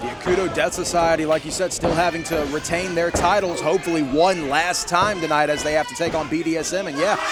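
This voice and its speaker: A man with a high pitch rushes along at a very fast pace, with hardly any pauses. Noticeable background noise runs underneath. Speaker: wrestling commentator. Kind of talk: pro wrestling live commentary. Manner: energetic, enthusiastic.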